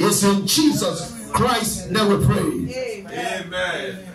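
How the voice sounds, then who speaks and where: Loud and animated, a man talks with lively intonation, with audible room echo and light background noise. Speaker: pastor leading prayer night. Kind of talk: fervent deliverance prayer, commanding and repetitive, rebuking spirits. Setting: church service with online Zoom attendees. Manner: loud, urgent, rhythmic repetition; animated, exhorting the congregation. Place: church.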